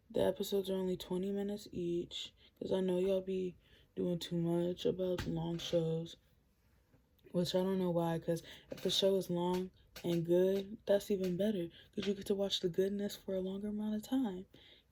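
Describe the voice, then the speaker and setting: The voice is quiet and moves at a moderate pace. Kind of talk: casual vlog recommendations.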